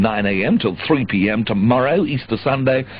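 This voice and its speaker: Over noticeable background noise, a man talks with lively intonation. His pitch is medium. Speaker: pirate radio disc jockey. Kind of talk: radio DJ presenting show. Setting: radio broadcast aircheck, 1985.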